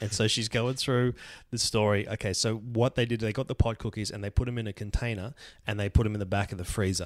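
A man with an Australian accent speaks at a very fast pace in a fairly low, monotone, flat voice. The recording is very clean, with a silent background. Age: 40s. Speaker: comedian. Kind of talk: storytelling. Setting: recording at a friend's house.

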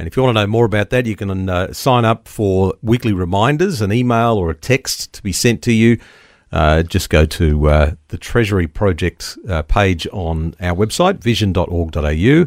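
Speaking in an Australian accent, this man has a fairly low voice. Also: ordinary pitch variation, moderate pace, dry, close sound with no echo. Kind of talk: radio interview. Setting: studio.

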